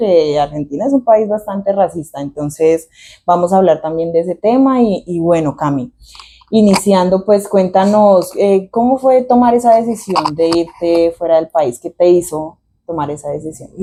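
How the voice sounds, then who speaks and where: Speaking at a moderate pace, a woman has a fairly low pitch, a dark, mellow tone and ordinary pitch variation. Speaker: podcast co-host. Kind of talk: casual podcast chat.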